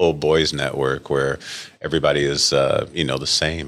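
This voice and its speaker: Over a silent background on a very clean recording, a man with an American accent speaks at a moderate pace in a bright, sharp tone with vocal fry. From western New York (Rochester). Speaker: orthopedic surgeon. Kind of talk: casual interview.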